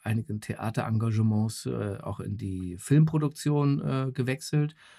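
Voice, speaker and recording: The voice moves at a very slow pace with lively intonation. Its tone is dark and mellow. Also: man. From West Berlin. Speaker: actor and voice actor. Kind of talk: casual chat. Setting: home recording booth via online call.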